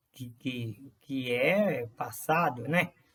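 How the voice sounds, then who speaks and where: This man's voice sits at medium pitch. It sounds somewhat breathy. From rural Brazil. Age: 60s. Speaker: vlogger. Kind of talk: personal monologue. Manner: halting, many fillers and repetitions.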